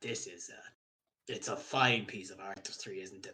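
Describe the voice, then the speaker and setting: This man puts on a raspy character voice. His pitch sits in the middle range, and his pace is moderate. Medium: actual play. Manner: warm, salesmanlike.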